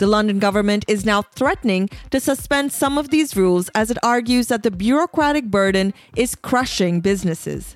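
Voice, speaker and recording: With lively intonation and very even loudness, a woman speaks fairly quickly at a fairly high pitch in an unremarkable speaking voice. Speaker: podcast host. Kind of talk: formal news reading, scripted press-review bulletin. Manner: measured, even and neutral newsreader delivery; crisp, steady pace with clear enunciation.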